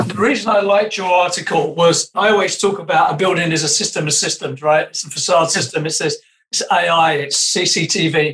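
Fairly quick speech in a British accent, with ordinary pitch variation and hardly any pauses. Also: man, high pitch for a man. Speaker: podcast co-host. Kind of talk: casual interview conversation.

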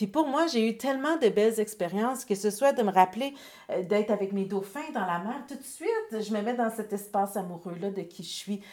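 A woman's fairly high voice in a Quebec accent, at a moderate pace with ordinary pitch variation. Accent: Québécois French. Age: 40s. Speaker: author and entrepreneur. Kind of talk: casual interview.

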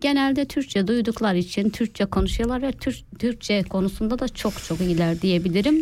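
A woman with a fairly high pitch talks at a moderate pace, her intonation lively. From Turkey. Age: 30s. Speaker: home cook with food page. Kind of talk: interview. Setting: studio.

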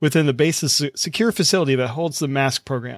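An unremarkable speaking voice from a man with an American accent, fairly high in pitch, at a fairly quick pace. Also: dry, close sound with no echo. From US South. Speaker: podcast host. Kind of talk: reading aloud; casual chat. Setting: video call.

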